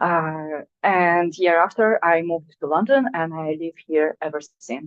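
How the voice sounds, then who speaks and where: Speaking with a Russian accent, a woman uses a fairly low pitch. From Russia (Sakhalin Island). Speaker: artist. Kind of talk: artist talk. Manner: halting.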